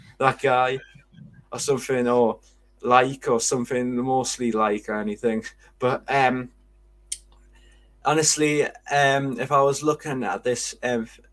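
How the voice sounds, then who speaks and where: On a very clean recording with a silent background, a man in a Geordie accent speaks at medium pitch with monotone, flat intonation, a fairly slow pace and long, frequent pauses. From northern England, Newcastle. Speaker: football podcast co-host. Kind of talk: casual chat. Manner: halting.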